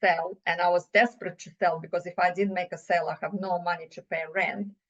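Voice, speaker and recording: Here a woman speaks with a Russian accent. Her pace is fairly quick. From Russia (USSR). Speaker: business owner, CEO. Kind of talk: podcast interview. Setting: podcast.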